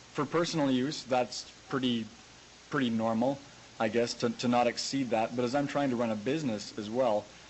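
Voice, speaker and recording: A man's medium-pitched voice keeps a fairly even intonation and a moderate pace. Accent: Western Canadian. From rural Alberta, Canada. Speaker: grain farmer and tech website owner. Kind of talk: conference presentation. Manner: hesitant, many filler words.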